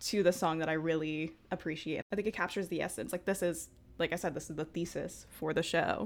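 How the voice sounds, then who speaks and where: On a very clean recording with a silent background, a woman talks fairly quickly in a fairly low voice with vocal fry and fairly even intonation. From Brooklyn, New York. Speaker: podcast co-host. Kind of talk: casual chat.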